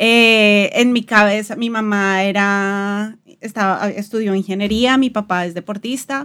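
A woman's ordinary speaking voice at a medium pitch, fairly slow with hardly any pauses and fairly even intonation, on a very clean recording with a silent background. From Colombia, Bogotá. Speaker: podcast host, designer. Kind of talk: casual chat.

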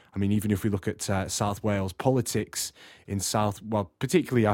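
Speaking at a very fast pace, a man with a fairly low pitch keeps his intonation fairly even on a very clean recording with a silent background. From Australia, then Morecambe, northwest England. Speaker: music producer and rapper. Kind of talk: recorded monologue answer.

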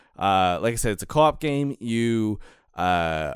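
With a plain, everyday voice of medium pitch, a man talks at a fairly slow pace with lively intonation on a very clean recording with a silent background. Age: 30s. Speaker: podcast guest. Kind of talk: casual chat.

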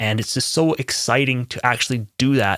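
A man talks in a normal speaking voice at a fairly slow pace. His pitch varies in an ordinary way. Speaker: music producer and podcast host. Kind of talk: casual solo podcast monologue. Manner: conversational with many fillers. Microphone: testing new preamp on voice.

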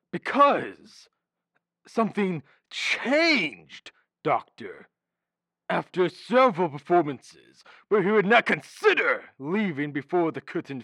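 It's a put-on character voice at a middle pitch. The pace is fairly slow, and the recording is very clean with a silent background. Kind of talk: florid, theatrical declamation. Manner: grandiloquent, melodramatic, lovesick.

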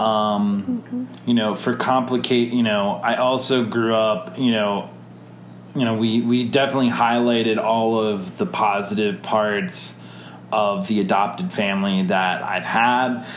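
Speaking with an American accent, a man keeps a medium pitch and fairly even intonation. His pace is fairly slow and his loudness very even. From Wisconsin, US Midwest. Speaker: adoptee interviewee. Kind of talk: interview. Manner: halting, many fillers.

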